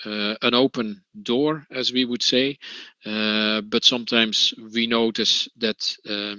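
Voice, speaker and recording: A man speaks in a Dutch accent with monotone, flat intonation. His pace is fairly slow. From Netherlands. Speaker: trade union representative. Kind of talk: conference talk. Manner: halting, many fillers.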